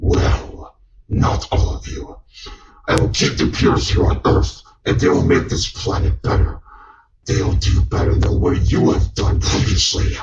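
Putting on a character voice, a man speaks in a very deep, low pitch. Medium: voice reel. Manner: contemptuous, threatening.

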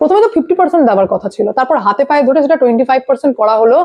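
A woman speaks in a high pitch with lively intonation. Her tone is slightly mellow.

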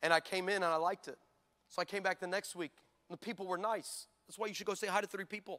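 A man with an American accent speaks in a high, raised, projected voice with a bright, sharp tone. His delivery is animated and playful at a very fast pace, over a quiet background. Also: big swings in loudness. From California. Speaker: pastor. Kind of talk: sermon; comedic storytelling sermon, crowd call-and-response. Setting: stage with audience. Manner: animated, playful, loud preacher working the crowd; loud, high-energy. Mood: humorous. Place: church. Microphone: handheld.

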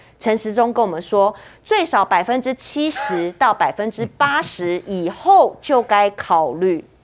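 Speaking with a Taiwanese accent at a fairly slow pace, a woman swings her pitch very widely. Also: fairly high pitch for a woman. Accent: Taiwanese Mandarin. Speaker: TV news talk show host. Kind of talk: political talk show. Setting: studio. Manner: animated. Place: studio.

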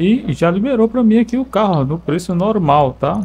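A man's somewhat breathy voice at a moderate pace. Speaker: gaming YouTuber. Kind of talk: gameplay commentary. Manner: animated.

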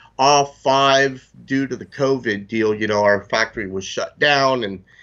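A man speaks at a fairly slow pace. His pitch varies in an ordinary way against a quiet background. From Florida. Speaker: fishing lure company representative; guest. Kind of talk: product interview. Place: office. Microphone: video call.

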